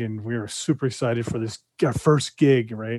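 A man with an American accent and a medium pitch speaks at a fairly quick pace with fairly even intonation. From California. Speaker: hearing aid company representative. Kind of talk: casual interview.

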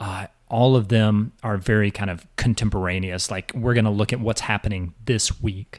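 An unremarkable speaking voice comes from a man with fairly low pitch and fairly even intonation. The recording is very clean, with a silent background. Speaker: podcast host and academic. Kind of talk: casual interview chat.

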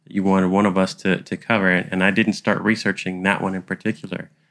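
A man's fairly low, unremarkable speaking voice with fairly even intonation, in a very clean recording over a silent background. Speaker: podcast co-host. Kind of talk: casual conversation.

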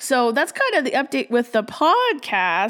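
A woman speaks in an animated tone. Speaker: podcast host. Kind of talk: casual chat.

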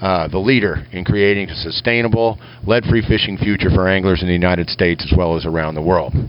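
Through noticeable background noise, a man with a very deep, low pitch talks at a very fast pace with ordinary pitch variation. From Kansas. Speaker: lure maker and show correspondent. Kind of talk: recorded voice message. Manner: folksy, jokey.

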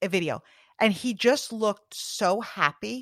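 The recording is very clean, with a silent background and a dry, close sound with no echo. A woman talks at a fairly slow pace in an ordinary speaking voice. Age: 40s. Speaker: network marketing professional and podcast host. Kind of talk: interview conversation.

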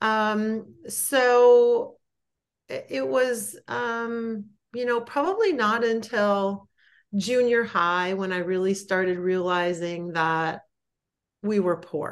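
Against a quiet background, a woman with a fairly high pitch speaks at a very slow pace with ordinary pitch variation. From Wisconsin. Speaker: guest sharing life story. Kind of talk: podcast interview, personal story.

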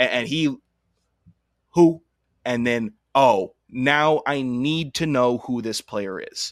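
Shouting, a man uses ordinary pitch variation in a very clean recording with a silent background. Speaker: college football podcast co-host, former college football player. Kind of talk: casual sports chat. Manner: loud, yelling.

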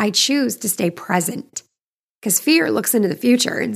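A woman speaks at a fairly slow pace with vocal fry. Her tone is animated and her intonation lively. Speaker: podcast host. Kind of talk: solo monologue, motivational talk.

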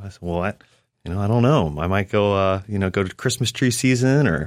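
A man with a plain, everyday voice talks at a fairly quick pace and with lively intonation on a very clean recording with a silent background. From Western North Carolina (raised from age ten; born in Orlando). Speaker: DJ and kayaker, music platform founder. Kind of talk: studio interview. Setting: studio.

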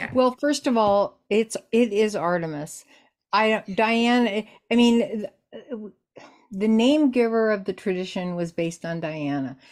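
Slow-paced and fairly high-pitched, a woman with an unremarkable speaking voice talks with lively intonation. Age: 60s. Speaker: Dianic priestess and author. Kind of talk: casual interview conversation.

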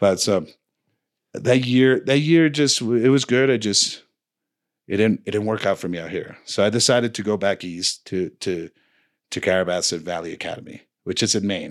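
A man with a Spanish accent, fairly low pitch and lively intonation at a moderate pace, on a very clean recording with a silent background. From Dominican Republic, later New Jersey. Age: 40s. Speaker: snowboard coach. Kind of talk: casual chat. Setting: studio.

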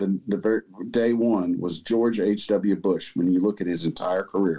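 A man with an American accent, dark and mellow in tone, at a moderate pace. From US South, Huntsville, Alabama. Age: 50s. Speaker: retired police officer. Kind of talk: casual chat.

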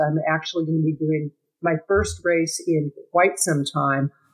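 At a fairly slow pace, a woman talks in a normal speaking voice pitched fairly low. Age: 60s. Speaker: business consultant and marketing strategist. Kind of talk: casual interview chat.

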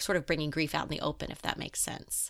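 A woman with an American accent, a very deep, low pitch, vocal fry and a bright, sharp tone, in a very clean recording with a silent background. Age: 50s. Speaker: writer. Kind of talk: interview.

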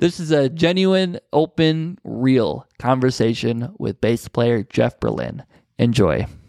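A man's medium-pitched, very slow delivery with lively intonation and a dry, close sound with no echo. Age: 20s. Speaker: podcast host. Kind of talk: interview.

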